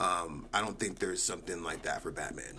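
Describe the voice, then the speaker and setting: A man's voice with audible room echo. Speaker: multimedia artist and livestreamer. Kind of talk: casual livestream chat. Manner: animated.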